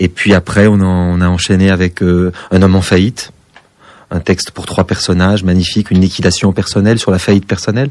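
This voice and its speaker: In a flat monotone, a man with a very deep, low pitch speaks at a fairly quick pace. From southwest France. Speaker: stage actor. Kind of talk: radio interview. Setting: radio studio. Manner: precise, distinctive diction.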